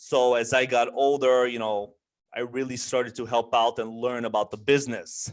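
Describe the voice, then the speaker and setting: Here a man talks in a monotone, flat intonation. The recording is very clean, with a silent background. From Bulgaria, moved to US after first grade (Dallas, then Chicago). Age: 20s. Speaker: trucking business owner. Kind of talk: interview. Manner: many fillers (um, you know).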